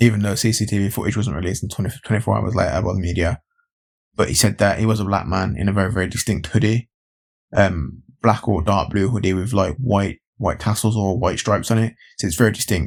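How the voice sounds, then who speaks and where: A man with an English Midlands accent and a fairly low pitch, talking at a very fast pace with ordinary pitch variation, on a very clean recording with a silent background. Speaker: YouTube commentator. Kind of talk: opinion vlog. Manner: animated, repetitive.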